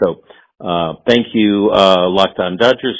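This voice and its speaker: This is a man speaking. He has an American accent. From Los Angeles. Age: 70s. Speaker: caller. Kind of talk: voicemail message. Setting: phone voicemail. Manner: halting.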